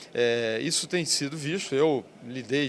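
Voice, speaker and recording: The man's voice sits at a medium pitch, with fairly even intonation. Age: 60s. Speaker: business agency president. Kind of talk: interview. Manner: halting, many fillers.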